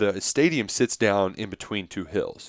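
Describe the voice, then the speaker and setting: With an unremarkable speaking voice, a man talks at a moderate pace and fairly low pitch, the sound dry and close with no echo on a very clean recording with a silent background. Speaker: football podcast host. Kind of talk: casual chat.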